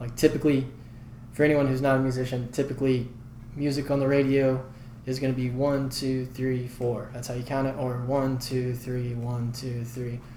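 A soft-spoken man with a medium pitch talks at a moderate pace in a flat monotone. There is audible echo in the room. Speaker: singer and songwriter. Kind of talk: casual chat. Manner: calm and even.

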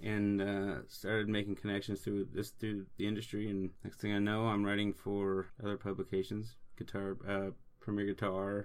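This man has an American accent and a fairly low pitch. His intonation is monotone and flat. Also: moderate pace. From Seattle. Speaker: musician and music writer. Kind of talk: casual chat.

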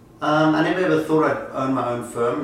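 Noticeable background noise runs under a man's voice. Room echo is audible too. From South Africa, Johannesburg. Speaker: real estate company founder and CEO. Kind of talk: interview.

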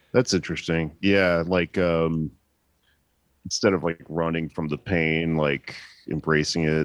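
Very deep and low, a man's voice carries an American accent and fairly even intonation at a fairly slow pace. Long, frequent pauses break it up, in a dry, close sound with no echo. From Texas. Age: 30s. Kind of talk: casual chat.

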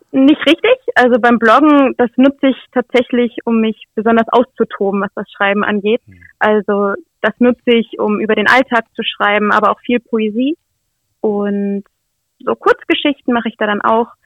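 A woman with a normal speaking voice talks at a fairly high pitch and a moderate pace. Her pitch variation is ordinary. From Lower Saxony, Nienburg. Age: 20s. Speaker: author and blogger. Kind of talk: interview.

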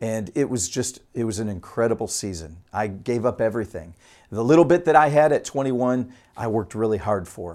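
On a very clean recording with a silent background, a man with an American accent and an ordinary speaking voice talks at a moderate pace and medium pitch with lively intonation. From Michigan, US (Utica). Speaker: pastor. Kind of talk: sermon.

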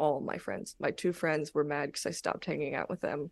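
A voice with a Californian accent against a quiet background. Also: woman. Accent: Californian American English. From Los Angeles, San Fernando Valley. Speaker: stand-up comedian. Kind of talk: casual chat. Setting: video call.

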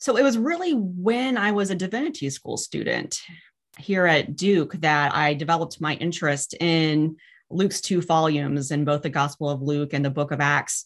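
A woman talks in a very deep, low voice with little sound behind her. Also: lively intonation, moderate pace. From moved around, US military family. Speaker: professor of New Testament. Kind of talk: interview conversation. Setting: video call.

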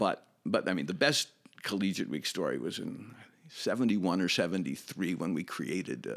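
A man with an American accent speaks at a fairly quick pace in a very deep, low pitch. His intonation is lively, and vocal fry runs through his voice. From US Midwest, Chicago. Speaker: former summer camp camper and counselor. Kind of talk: casual interview reminiscence. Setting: in-person studio interview. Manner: halting, repeats words.

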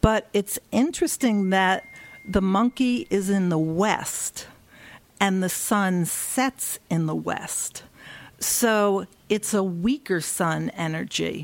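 Very slow speech from a woman with an American accent, medium in pitch, with lively intonation. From US, Philadelphia. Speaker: feng shui consultant and Chinese astrologer. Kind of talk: interview.

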